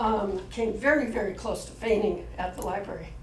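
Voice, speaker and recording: Amid noticeable background noise and audible room echo, a woman with a fairly high pitch speaks at a moderate pace. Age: 70s. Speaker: community workshop participant. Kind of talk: group report-back at public meeting. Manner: halting.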